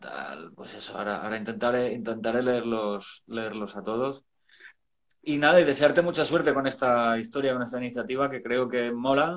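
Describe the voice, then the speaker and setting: A man at medium pitch talks at a moderate pace in a normal speaking voice, with ordinary pitch variation and big swings in loudness. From Spain, Valencia. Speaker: rock singer. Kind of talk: casual chat.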